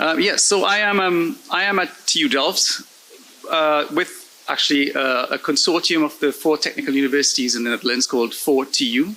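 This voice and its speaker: The speaker's intonation is lively while the loudness stays very even. Noticeable background noise can be heard. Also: man, fairly high pitch for a man. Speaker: invited conference speaker, research data project manager. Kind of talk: conference presentation. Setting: conference stage with audience. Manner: fast.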